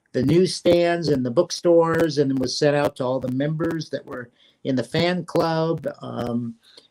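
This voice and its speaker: Fairly even intonation carries this man's speech along at a moderate pace. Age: 60s. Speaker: fan club founder and publisher. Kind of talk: interview. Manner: hesitant, many fillers.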